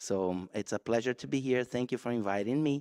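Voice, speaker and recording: A man with a Brazilian Portuguese accent, in a dry, close sound with no echo. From Brazil, Rio de Janeiro. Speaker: guitarist. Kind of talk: spoken introduction at concert. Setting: church concert with audience.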